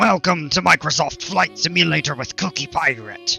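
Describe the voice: A raspy, put-on character voice moves at a moderate pace over faint music in the background. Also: man, fairly high pitch for a man.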